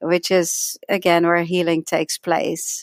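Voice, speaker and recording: A woman with a slight Dutch accent talks at a fairly slow pace. Her fairly low pitch comes through a dry, close sound with no echo. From Netherlands. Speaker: energy healing teacher, author. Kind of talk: interview.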